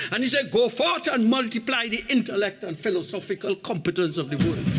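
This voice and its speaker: A man with a Trinidadian accent talks at a fairly quick pace in a high pitch. His voice makes very wide pitch swings while music plays in the background. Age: 70s. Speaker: opposition member of parliament. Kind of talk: parliamentary budget debate speech. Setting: parliament chamber.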